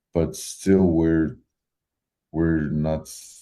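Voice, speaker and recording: A man with a Georgian accent speaks at a very slow pace in a very deep, low pitch. His tone is dark and mellow, with fairly even intonation. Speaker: metal musician. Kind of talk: interview. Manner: halting.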